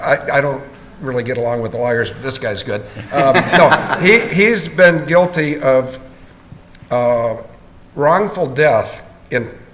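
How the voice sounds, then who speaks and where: With an American accent and a fairly high pitch, a man speaks with lively intonation and long, frequent pauses over noticeable background noise and audible room echo. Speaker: conference speaker. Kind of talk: Q&A session.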